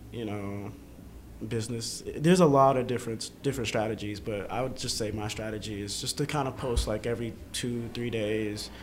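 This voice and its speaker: The man's medium-pitched voice moves at a fairly quick pace with fairly even intonation. Audible room echo surrounds it. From Atlanta, US South (from fourth grade; born in Boston). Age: 20s. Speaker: photographer. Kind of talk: casual interview. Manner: casual, hesitant with fillers.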